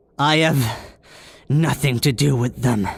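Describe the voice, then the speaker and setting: Someone performs a cartoonish character voice. The pitch sits low-to-middle. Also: fairly slow pace. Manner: stubborn, proud.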